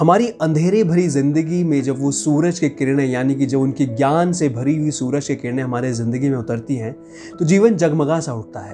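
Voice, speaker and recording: A man with a fairly high pitch talks with lively intonation and hardly any pauses. Music plays in the background. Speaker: YouTuber interviewer. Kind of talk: video intro to camera.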